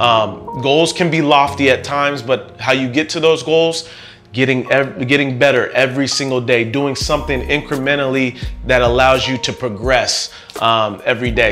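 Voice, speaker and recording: Faint music plays behind a man who talks at a moderate pace with ordinary pitch variation. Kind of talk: casual vlog chat. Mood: warm, reflective. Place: home room. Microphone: lapel.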